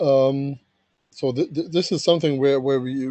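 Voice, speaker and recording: A man with a fairly high pitch and a dark, mellow tone speaks at a fairly slow pace with fairly even intonation. The sound is dry with no echo, and the background is quiet. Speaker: standards engineer, document author. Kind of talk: technical working group meeting. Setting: video call. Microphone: video call.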